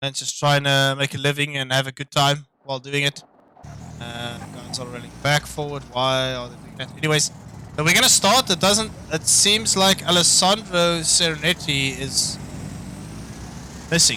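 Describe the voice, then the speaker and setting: A man with a non-native accent speaks at a moderate pace in a fairly high pitch with ordinary pitch variation. His loudness swings widely, and there is noticeable background noise. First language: not English. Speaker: sim racing commentator. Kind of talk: live commentary. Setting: live stream. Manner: casual, hesitant with fillers.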